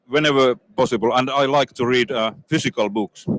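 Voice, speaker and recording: A man's medium-pitched voice in a Finnish accent, with ordinary pitch variation and a dry, close sound with no echo. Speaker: industry executive. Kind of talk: interview. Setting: trade fair booth. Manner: halting.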